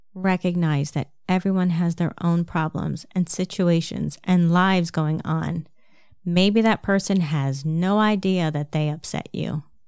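With a slight New Jersey accent, a woman speaks at a fairly low pitch and a fairly slow pace. Her intonation is fairly even. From New Jersey, US. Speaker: podcast host and health coach. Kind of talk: solo podcast monologue, advice talk.

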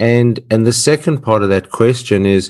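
Delivered at a fairly slow pace, the speech comes in an Australian accent. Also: man. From Australia (Perth, Western Australia). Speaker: podcast host. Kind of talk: podcast interview. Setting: remote call.

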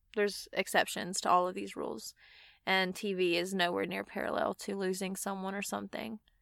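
Here a woman with a Southern US accent speaks at a fairly low pitch and a moderate pace. The recording is very clean, with a silent background. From Mississippi. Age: 20s. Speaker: podcast host, van lifer. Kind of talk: solo personal monologue. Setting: inside a van.

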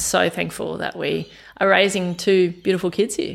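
Moderate pace with an Australian accent, on a very clean recording over a silent background. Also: woman. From Australia, western Sydney. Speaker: environmental group vice president. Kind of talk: casual interview. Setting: home kitchen. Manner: animated.

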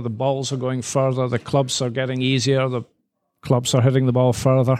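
Flat and monotone, a man speaks at medium pitch and a moderate pace. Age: 50s. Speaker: golf professional. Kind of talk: casual chat. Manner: halting.

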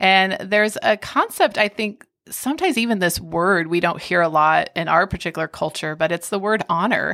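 On a very clean recording with a silent background, a woman with a bright, sharp tone talks at a moderate pace and medium pitch, with ordinary pitch variation and hardly any pauses. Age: 40s. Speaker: children's book author and ministry coordinator. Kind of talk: casual chat.

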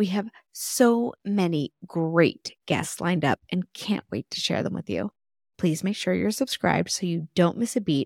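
With an American accent and lively intonation, a woman speaks in an enthusiastic tone at a fairly slow pace, the sound dry and close with no echo. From Texas. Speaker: podcast host. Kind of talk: interview conversation.

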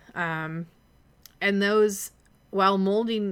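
A woman speaks with an American accent at a medium pitch. Her pace is fairly slow and her pitch varies normally. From US Upper Midwest, Minneapolis. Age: 30s. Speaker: podcast host. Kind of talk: personal monologue.

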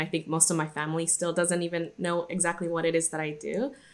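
A woman with an American accent and a fairly low voice talks at a fairly quick pace. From Guadalajara, Mexico, later Irvine, California. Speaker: workplace strategy manager. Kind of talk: interview conversation. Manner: hesitant, many fillers and restarts.

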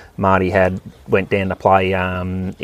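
Talking at a fairly slow pace, a man with a rural Australian accent has a very deep, low pitch. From Australia, Victoria (Wimmera, near Donald). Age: 30s. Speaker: farmer. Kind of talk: interview. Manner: halting.

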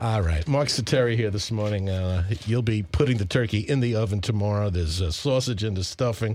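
With an American accent, a man in an ordinary speaking voice talks at a fairly quick pace and a fairly low pitch, with ordinary pitch variation and hardly any pauses. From Long Island, New York (Suffolk County). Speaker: radio host. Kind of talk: radio interview.

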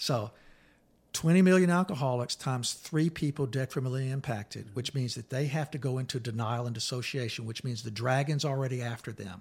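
A man's medium-pitched voice comes out somewhat breathy, with pitch that varies in an ordinary way. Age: 60s. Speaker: therapist and author. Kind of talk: casual chat.

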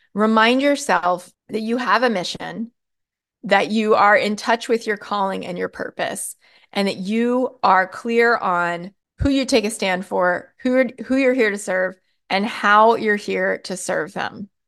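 A woman speaks at a fairly slow pace with a fairly high pitch and ordinary pitch variation. It is a plain, everyday voice against a quiet background. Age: 40s. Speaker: podcast host, marketing and messaging coach. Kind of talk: solo podcast talk, coaching monologue.

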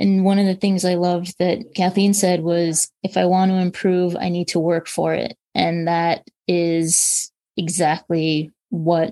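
With an American accent, a woman speaks at a fairly low pitch in a dark, mellow tone and fairly even intonation. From New York. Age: 40s. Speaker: breast cancer survivor, speaker. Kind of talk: panel discussion.

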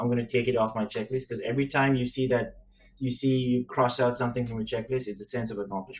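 A man delivers his words at a very fast pace in a somewhat breathy voice, keeping a medium pitch and a monotone, flat intonation. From Sri Lanka, Chinese heritage, living in Singapore. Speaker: podcast co-host, business professional. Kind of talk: casual chat. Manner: casual, says man often.

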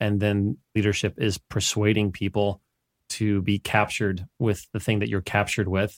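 A man with an ordinary speaking voice talks at a moderate pace, fairly low in pitch and fairly even in intonation. The recording is very clean and dry, close with no echo and a silent background. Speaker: coach. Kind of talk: casual interview chat.

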